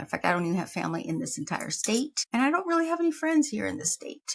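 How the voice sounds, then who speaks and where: A somewhat breathy woman speaks, her intonation lively throughout. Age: 50s. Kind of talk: casual talk to camera. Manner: rambling, humorous.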